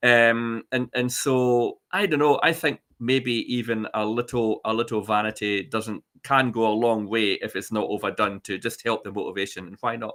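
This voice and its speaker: A man with a Scottish accent, at a moderate pace, with ordinary pitch variation. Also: medium pitch for a man. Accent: Scottish (Ayrshire). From Scotland, Ayrshire. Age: 60s. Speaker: chat show guest. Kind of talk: casual chat. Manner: halting, many fillers and restarts.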